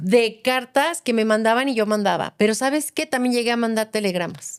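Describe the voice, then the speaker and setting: Heard on a very clean recording with a silent background, a woman with an ordinary speaking voice talks at a fairly high pitch with ordinary pitch variation. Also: moderate pace. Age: 50s. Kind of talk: casual podcast conversation.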